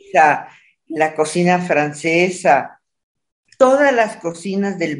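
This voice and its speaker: Speaking at a very slow pace, a woman uses lively intonation in a fairly low pitch. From Mexico, Monterrey (northern Mexico). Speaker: painter and food writer. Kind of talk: interview.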